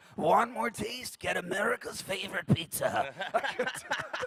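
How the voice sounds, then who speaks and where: This is a man doing a put-on character voice. He pitches it extremely high. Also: fairly slow pace. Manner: rough, over-the-top announcer delivery.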